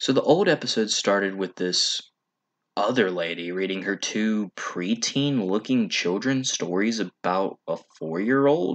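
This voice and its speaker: A man speaks at a fairly slow pace with a fairly low pitch and ordinary pitch variation against a quiet background. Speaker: online video reviewer. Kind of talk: commentary. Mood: wry, sarcastic critique.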